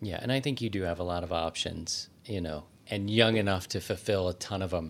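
A man talks at a moderate pace with ordinary pitch variation. His pitch is very deep and low. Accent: American. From Maryland, US. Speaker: podcast host, ballet company director. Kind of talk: interview; scripted narration. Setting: studio.

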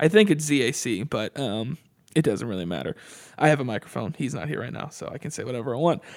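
A man at a medium pitch, very fast and lively in intonation, with vocal fry, on a very clean recording with a silent background. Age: 20s. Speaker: podcast host. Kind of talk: casual chat.

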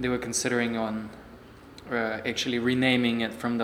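Over noticeable background noise and audible room echo, a man at medium pitch speaks at a moderate pace with monotone, flat intonation. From Siberia, Russia (Irkutsk). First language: Russian. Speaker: personal trainer. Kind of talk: interview.

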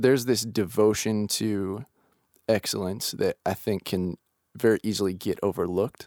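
At a moderate pace, a man speaks in a fairly low pitch with fairly even intonation, captured in a very clean recording with a silent background and a dry, close sound with no echo. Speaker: worship leader. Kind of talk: casual chat.

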